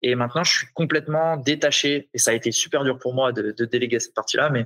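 At a moderate pace, a man with a fairly high voice speaks in a fairly even intonation. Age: 30s. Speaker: CrossFit gym owner. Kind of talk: casual interview. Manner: halting.

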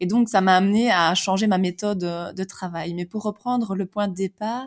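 With a medium pitch and fairly even intonation, a woman speaks at a moderate pace in a very clean recording with a silent background and a dry, close sound with no echo. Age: 30s. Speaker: life coach. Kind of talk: interview conversation. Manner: hesitant, many fillers.

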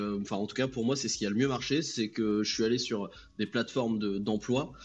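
A man with a plain, everyday voice and a medium pitch talks at a moderate pace with fairly even intonation. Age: 20s. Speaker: freelance customer service agent. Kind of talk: casual chat.

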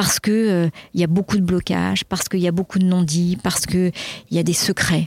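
This woman has a normal speaking voice at medium pitch, talking at a fairly quick pace with fairly even intonation. The recording is very clean, with a silent background, and the sound is dry and close with no echo. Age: 60s. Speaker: executive coach. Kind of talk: interview. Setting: outdoors.

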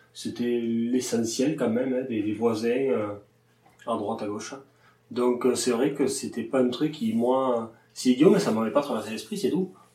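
In a room with audible echo, a man speaks at a fairly slow pace at medium pitch, with ordinary pitch variation. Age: 30s. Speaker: livestock farmer. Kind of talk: interview. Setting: farm. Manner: hesitant, many fillers.

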